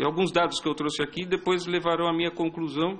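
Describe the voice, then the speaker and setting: A man talks at a very fast pace. His voice is fairly high. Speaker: police intelligence officer. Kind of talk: public hearing presentation. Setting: public hearing with audience.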